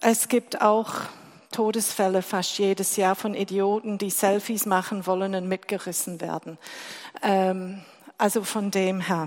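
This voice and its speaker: In a fairly slow, monotone delivery, a woman with an English accent speaks at a medium pitch with flat intonation. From England. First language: English (speaking German). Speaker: lay preacher. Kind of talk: sermon.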